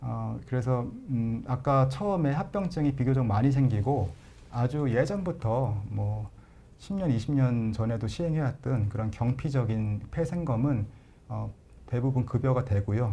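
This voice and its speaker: A man talks at a fairly slow pace in a medium pitch with ordinary pitch variation. His tone is dark, mellow and somewhat breathy. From Chungcheong, Korea. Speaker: pulmonologist, professor. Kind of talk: live Q&A, medical explanation. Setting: live broadcast. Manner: hesitant fillers, conversational.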